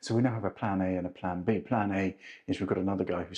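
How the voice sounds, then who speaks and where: This man, with a British accent, talks at a very fast pace and a fairly low pitch. The background is quiet. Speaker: travel and home vlogger. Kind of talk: casual video vlog walkthrough. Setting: indoors at an apartment under renovation.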